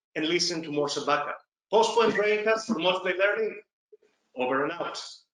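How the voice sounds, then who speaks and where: Speaking in a raised, projected voice with a Greek accent, a man sounds animated at a high pitch, with ordinary pitch variation and audible room echo. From Greece. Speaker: podcast host and psychiatrist. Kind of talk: podcast outro.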